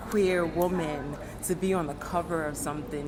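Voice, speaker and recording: A fairly low-pitched woman's voice with a New York accent, over noticeable background noise. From Brooklyn, New York. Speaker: poet and multidisciplinary artist. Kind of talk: interview answer.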